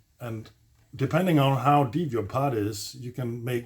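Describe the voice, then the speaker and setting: Somewhat breathy, a man speaks at a very slow pace. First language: not English. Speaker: DIY video maker. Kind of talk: tutorial. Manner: halting, many fillers; casual.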